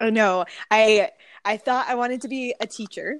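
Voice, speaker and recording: A woman with an American accent has a normal speaking voice, fairly high in pitch, with ordinary pitch variation. She talks at a moderate pace, and the sound is dry and close, with no echo. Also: very clean recording, silent background. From California, central coast. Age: 20s. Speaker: pastor. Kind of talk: casual chat.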